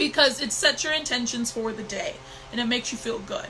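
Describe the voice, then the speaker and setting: A woman's raised, projected voice with lively intonation at a fairly quick pace, over noticeable background noise. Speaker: intuitive divination mentor. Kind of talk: live stream talk. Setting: live stream on new computer.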